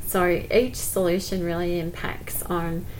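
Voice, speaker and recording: Flat, monotone speech with an Australian accent, plus audible room echo and noticeable background noise. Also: woman. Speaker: school principal. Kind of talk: casual interview. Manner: smiling.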